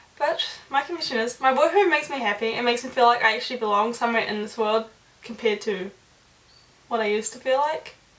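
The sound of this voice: Audible room echo surrounds a woman speaking at a fairly quick pace and a fairly high pitch, her tone fairly bright and her pitch varying in an ordinary way.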